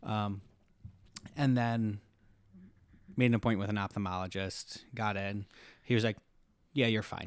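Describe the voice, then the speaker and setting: The speaker keeps a moderate pace and fairly even intonation, with long, frequent pauses. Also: man, fairly low pitch for a man. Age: 30s. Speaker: podcast guest with type one diabetes. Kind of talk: casual podcast conversation.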